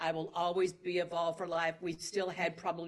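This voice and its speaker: A woman with a Southern US accent speaks at a moderate pace in a fairly low voice. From Tennessee. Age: 60s. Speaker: actress. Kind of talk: interview. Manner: animated.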